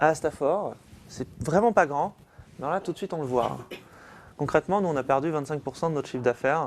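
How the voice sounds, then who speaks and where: A man at a fairly quick pace. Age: 30s. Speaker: business owner and author. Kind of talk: talk to an audience.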